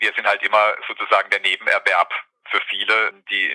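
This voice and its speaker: The sound is dry and close, with no echo at all. A man talks at a moderate pace. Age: 40s. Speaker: nurse and care home manager. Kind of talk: interview.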